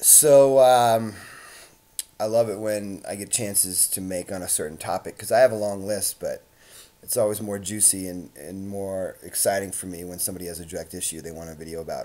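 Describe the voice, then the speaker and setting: Speaking at a fairly quick pace, a man with a fairly low pitch and a dark, mellow tone shows big swings in loudness. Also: ordinary pitch variation. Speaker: social anxiety coach. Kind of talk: vlog monologue. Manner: hesitant, many fillers.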